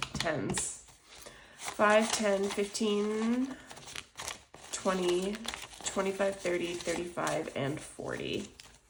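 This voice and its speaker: With audible room echo and noticeable background noise, a woman at a medium pitch speaks at a very slow pace with ordinary pitch variation and long, frequent pauses. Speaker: budgeting youtuber. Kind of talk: casual tutorial. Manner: conversational, many fillers.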